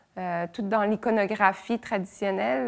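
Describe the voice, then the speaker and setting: A woman speaks with vocal fry at a fairly slow pace against a quiet background. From Quebec and Brittany, France; Quebec. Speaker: visual artist. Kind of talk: interview monologue. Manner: hesitant, many fillers. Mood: calm, thoughtful. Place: workshop.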